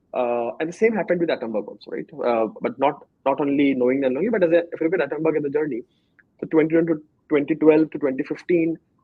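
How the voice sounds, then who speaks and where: A man with an Indian accent at a very fast pace, fairly high in pitch, with ordinary pitch variation. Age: 30s. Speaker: startup co-founder. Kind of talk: interview. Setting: studio. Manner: sometimes fast.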